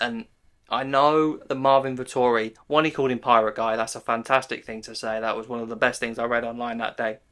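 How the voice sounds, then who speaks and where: A man with a British accent and medium pitch, fairly even intonation, big swings in loudness and a fairly quick pace, on a very clean recording with a silent background. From UK. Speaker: MMA YouTuber. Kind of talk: casual commentary monologue. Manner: casual, chatty.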